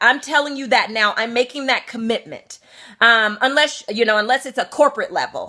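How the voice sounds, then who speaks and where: Her raised, projected voice has a bright, sharp tone, and this woman sounds animated throughout. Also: very clean recording, silent background. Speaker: spiritual coach. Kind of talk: motivational talk with event pitch.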